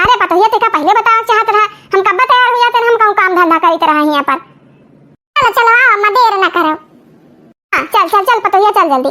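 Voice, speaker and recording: A woman uses a cartoonish character voice at an extremely high pitch with lively intonation and very even loudness. She talks at a fairly quick pace, with long, frequent pauses. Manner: scolding, quarrelsome.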